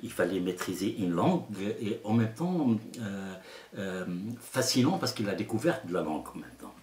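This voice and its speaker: A man with an Arabic accent speaks at a fairly slow pace, his pitch swinging very widely. Noticeable background noise can be heard. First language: Arabic (speaking French). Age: 60s. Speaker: storyteller. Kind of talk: interview. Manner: halting.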